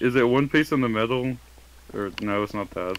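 A man at a medium pitch and moderate pace. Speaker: gamer in a group let's play video. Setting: online voice chat. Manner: monotone.

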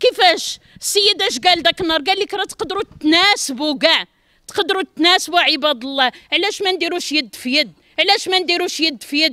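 In an extremely high pitch, a woman with a bright, sharp tone and raised, projected voice speaks at a fairly quick pace with lively intonation. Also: dry, close sound with no echo. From Morocco. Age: 50s. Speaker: apartment buyer. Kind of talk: street interview. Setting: outdoors at construction site. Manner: emotional pleading.

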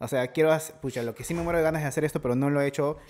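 His pace is very fast. This man's voice sits fairly high in pitch. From Peru. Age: 30s. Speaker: podcast host. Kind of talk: casual chat; sponsor read. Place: studio. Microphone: studio mic.

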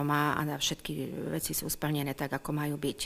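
A woman with a very deep, low pitch. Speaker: town official at council meeting. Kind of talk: formal report to council. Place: hall. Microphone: podium.

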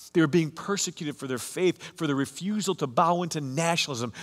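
The speaker uses ordinary pitch variation against a quiet background. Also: man. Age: 50s. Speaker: pastor. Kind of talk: sermon. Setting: online church service recording. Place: church.

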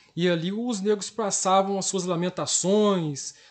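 Against a quiet background, a man talks at a high pitch. He takes a fairly slow pace. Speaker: history and geography teacher. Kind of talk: interview.

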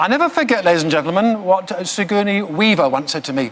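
Over light background noise, a man with a high voice talks at a fairly quick pace with lively intonation. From England. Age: 60s. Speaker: mentalist. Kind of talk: stage performance. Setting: stage with audience. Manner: comic, self-deprecating. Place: studio. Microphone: lapel.

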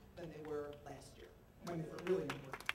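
A woman with an American accent talks over loud background noise. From US Northeast, Philadelphia. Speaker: state senator. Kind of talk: press conference speech. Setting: outdoors on capitol steps. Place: street.

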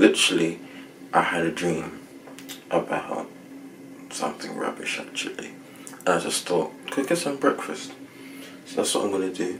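Behind noticeable background noise, a man talks at a moderate pace. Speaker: vlogger. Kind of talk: casual vlog chat. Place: kitchen. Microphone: phone near.

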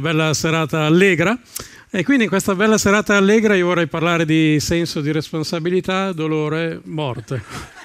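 The man's voice is high in pitch, with ordinary pitch variation. He talks at a fairly quick pace. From northern Italy, Salò on Lake Garda (Lombardy); Lombardy, Italy. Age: 50s. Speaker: stand-up comedian. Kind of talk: stand-up. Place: stage. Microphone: headset.

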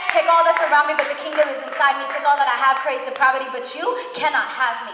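A woman speaks in a raised, projected voice amid noticeable background noise and audible room echo. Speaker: spoken word performer at a worship event. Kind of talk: spoken word poetry, religious, live performance. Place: church. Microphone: handheld.

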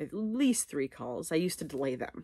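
A woman's very deep, low voice with very wide pitch swings, at a moderate pace, in a dry sound with no echo. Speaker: vlogger. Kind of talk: casual vlog chat. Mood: candid, a bit anxious. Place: home room. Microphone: phone near.

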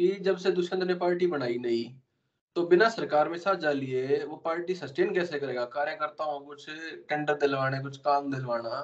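An ordinary speaking voice moves at a fairly slow pace with ordinary pitch variation and big swings in loudness against a quiet background. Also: man, fairly high pitch for a man. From Haryana. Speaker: podcast host. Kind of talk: interview. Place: home room. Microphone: video call.

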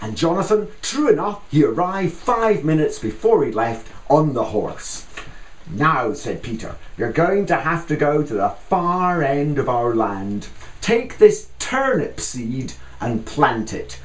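With an animated, playful tone and very wide pitch swings, a man speaks at a fairly slow pace amid audible room echo. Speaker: storyteller. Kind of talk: tall-tale folk storytelling told outdoors to listeners. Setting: outdoors in a garden. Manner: playful, mock-solemn yarn-spinning with dramatic pauses; animated, voicing characters in dialogue. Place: garden.

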